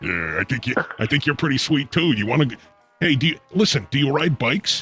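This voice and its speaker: Music sits behind a man talking at a fairly quick pace. His intonation is lively and his loudness very even. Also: fairly high pitch for a man. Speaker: comedy advice show host. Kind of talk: call-in radio show hosting.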